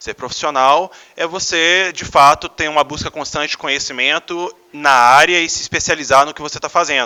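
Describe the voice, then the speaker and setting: At a moderate pace, a man with a fairly high pitch and a bright, sharp tone keeps his intonation fairly even. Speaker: American football team executive. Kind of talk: conference talk. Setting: stage with audience.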